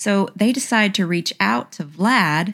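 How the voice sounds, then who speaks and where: A woman with a Southern US accent talks on a very clean recording where the background is silent. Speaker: podcast host. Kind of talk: casual storytelling podcast. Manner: chatty, joking.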